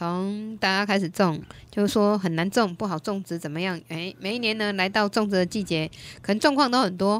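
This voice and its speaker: An animated tone and ordinary pitch variation come through at a fairly quick pace, in a dry sound with no echo. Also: woman, medium pitch for a woman. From Taiwan. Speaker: radio host. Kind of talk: radio call-in show. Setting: studio. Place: studio. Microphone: studio mic.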